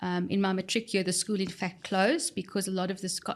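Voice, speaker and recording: A woman rushes along very fast, her medium pitch held to fairly even intonation. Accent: South African. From South Africa, central Johannesburg. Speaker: human resources expert. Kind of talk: podcast interview. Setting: studio.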